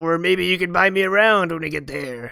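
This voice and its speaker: Fairly quick, middle-pitched delivery in a put-on character voice. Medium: actual play. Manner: shifty, wheedling, easily spooked.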